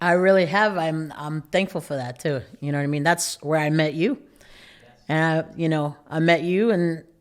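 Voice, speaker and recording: A woman speaks with a strong Boston accent at a moderate pace. Her pitch is very deep and low, with fairly even intonation. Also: very clean recording, silent background. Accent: thick Boston-area. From Massachusetts, Lawrence (Boston area). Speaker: barber and educator. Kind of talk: casual podcast interview. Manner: monotone.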